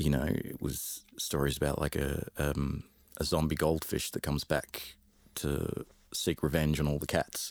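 A man with a very deep, low pitch and vocal fry talks fairly slowly in a flat monotone. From London, England. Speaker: musician and music teacher. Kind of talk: casual interview chat.

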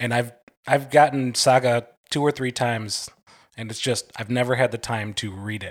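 A man with an unremarkable speaking voice speaks at a medium pitch and moderate pace with fairly even intonation, in a very clean recording with a silent background. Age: 30s. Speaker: podcast guest, contest winner. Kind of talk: casual chat.

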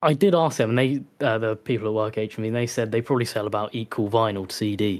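A man's medium-pitched voice with an English accent, very fast with hardly any pauses, with ordinary pitch variation, on a very clean recording with a silent background. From England. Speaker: disc collector, community member. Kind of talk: casual chat.

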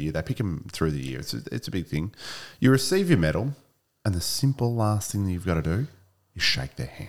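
With an Australian accent, a man speaks at a fairly quick pace in a very deep, low pitch with very wide pitch swings. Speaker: former AFL footballer. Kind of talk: casual chat. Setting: studio.

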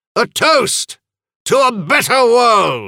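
This man's voice sits at an extremely high pitch, raised and projected. His pitch varies in an ordinary way. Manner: smug, mocking.

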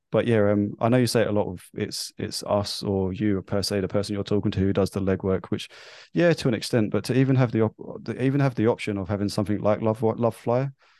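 Speaking at a very fast pace, a man uses a fairly low pitch and fairly even intonation. The background is quiet. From London, England. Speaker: guest, former nervous flyer. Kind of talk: casual interview, personal story.

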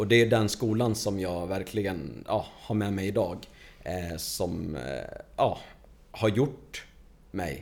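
A man with a fairly low pitch speaks with long, frequent pauses, and audible room echo surrounds his voice. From Stockholm suburbs (Tensta). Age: 30s. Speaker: construction coordinator. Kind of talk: casual interview.

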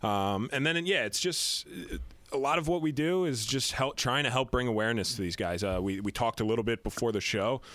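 In a normal speaking voice, a man talks at a fairly quick pace and medium pitch with lively intonation and very even loudness, on a very clean recording with a silent background. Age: 30s. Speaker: business founder. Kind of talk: casual chat.

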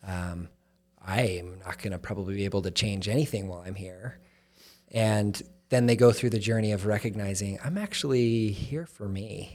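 A man with a normal speaking voice, fairly low in pitch with ordinary variation, talks at a moderate pace on a very clean recording with a silent background. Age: 30s. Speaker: charity chief executive. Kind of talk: casual chat.

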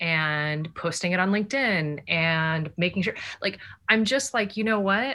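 A woman speaks at a fairly slow pace in a bright, sharp tone, on a very clean recording with a silent background. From Japan. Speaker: community manager. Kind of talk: casual interview.

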